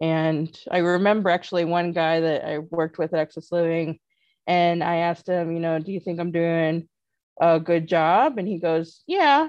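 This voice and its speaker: In a normal speaking voice with an American accent, a woman talks at a moderate pace and fairly low pitch with fairly even intonation, against a quiet background. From US Midwest (northern Indiana). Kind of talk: casual interview.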